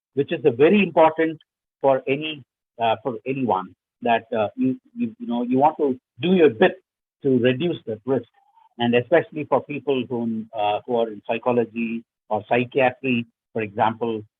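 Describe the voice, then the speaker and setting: A man talks at a moderate pace with long, frequent pauses. His pitch is medium, with ordinary pitch variation. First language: not English. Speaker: workshop speaker on research writing. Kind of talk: lecture. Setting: webinar. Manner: halting, many fillers.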